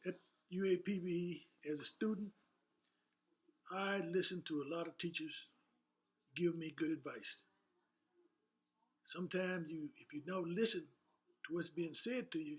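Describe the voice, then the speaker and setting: Long, frequent pauses break up a man's high voice, which moves at a fairly slow pace with ordinary pitch variation. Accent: American. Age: 80s+. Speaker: retired woodshop teacher. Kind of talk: interview answer.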